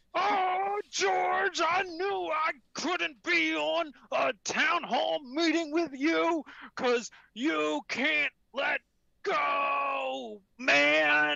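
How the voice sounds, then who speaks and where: Someone speaks in a put-on character voice, high in pitch and at a very slow pace. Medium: game stream. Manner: bickering, self-righteous.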